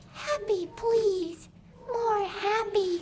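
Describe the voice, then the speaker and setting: A squeaky, put-on character voice at extremely high pitch comes through over clear background noise. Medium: video game. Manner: soft, halting, pleading.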